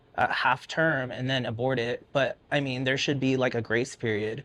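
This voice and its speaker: Fairly quick and fairly even in intonation, a man with a plain, everyday voice speaks at a medium pitch against a quiet background. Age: 30s. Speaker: working-class citizen. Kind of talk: casual chat.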